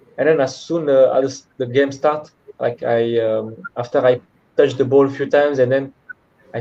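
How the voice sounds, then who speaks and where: A man speaks with a French accent. His pitch sits in the medium range. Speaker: professional footballer. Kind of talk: interview. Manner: halting.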